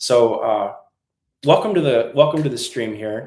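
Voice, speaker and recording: In an American accent, a man with a plain, everyday voice speaks at a fairly quick pace and medium pitch. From New England, US. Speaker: musician for senior communities, channel host. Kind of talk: live stream tutorial. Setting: live stream. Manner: casual, with fillers.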